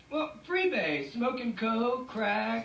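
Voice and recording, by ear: A woman uses a put-on character voice with fairly high pitch, big pitch swings, vocal fry and a slow pace. Audible room echo surrounds her.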